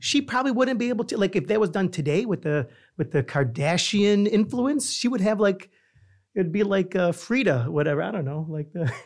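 On a very clean recording with a silent background, a man with a New York accent talks fairly quickly in a high voice, his pitch swinging very widely. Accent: New York American. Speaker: podcast co-host. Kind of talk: casual chat.

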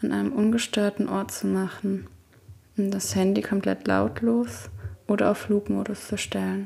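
A woman talks at a fairly slow pace. Her tone is calm and soothing. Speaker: podcast host and meditation guide. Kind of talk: guided meditation. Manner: slow, soft-spoken, calm and soothing, with long pauses; gentle, intimate, addressing listener as 'du'.

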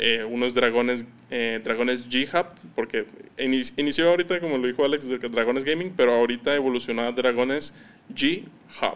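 His pitch is medium and varies in an ordinary way. The man keeps a moderate pace. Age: 20s. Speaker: entrepreneur. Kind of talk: casual interview.

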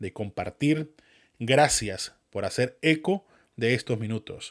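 The speech runs at a fairly slow pace with lively intonation, recorded dry and close with no echo on a very clean recording with a silent background. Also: man. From Venezuela. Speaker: podcast host. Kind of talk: scripted monologue.

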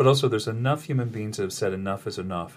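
A man speaks at a medium pitch with ordinary pitch variation and a somewhat breathy quality. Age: 60s. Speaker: spiritual podcast host. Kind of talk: casual spiritual chat.

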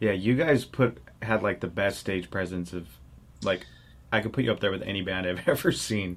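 A normal speaking voice with ordinary pitch variation at a moderate pace. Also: man, fairly low pitch for a man. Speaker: podcast host. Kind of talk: casual interview.

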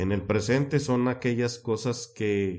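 The speaker is male. A dark, mellow tone marks his voice. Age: 30s. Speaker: life purpose coach and educator. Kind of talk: interview.

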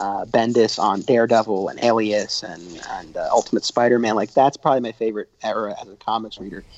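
A man talks at a fairly quick pace in a plain, everyday voice, with hardly any pauses. His pitch is medium, his intonation fairly even, and his loudness swings widely. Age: 30s. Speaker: documentary filmmaker. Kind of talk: podcast interview.

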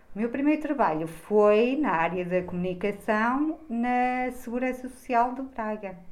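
With an unremarkable speaking voice, a woman talks at a fairly slow pace and a fairly high pitch, her intonation lively and hardly any pauses between words. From Trás-os-Montes, Portugal (Bragança). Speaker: school social worker. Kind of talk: interview.

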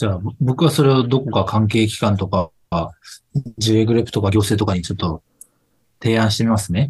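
A somewhat breathy man talks at a fairly quick pace, broken by long, frequent pauses. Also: ordinary pitch variation. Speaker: business succession advisor. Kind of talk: casual chat.

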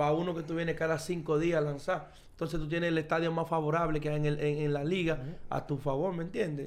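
Audible room echo surrounds a man's fairly high voice. He talks at a very fast pace with hardly any pauses. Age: 30s. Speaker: professional baseball player. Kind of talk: casual chat. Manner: animated.

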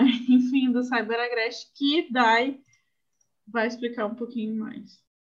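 Very slowly, a woman speaks in a high pitch. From Brazil, Northeast. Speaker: podcast host. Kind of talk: casual book discussion.

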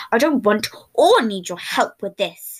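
At a moderate pace, a woman growls in a put-on character voice with fairly high pitch and lively intonation. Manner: loud, angry, growling.

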